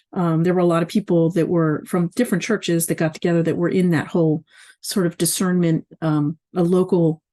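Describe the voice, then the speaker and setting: Against a quiet background, a woman with a dark, mellow tone and fairly low pitch talks at a moderate pace. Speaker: faith community organizer. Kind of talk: casual vlog monologue. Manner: halting.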